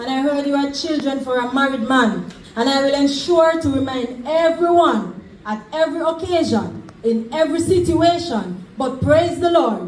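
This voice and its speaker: A woman's high-pitched voice carries lively intonation at a moderate pace, with noticeable background noise around it. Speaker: preacher. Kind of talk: sermon.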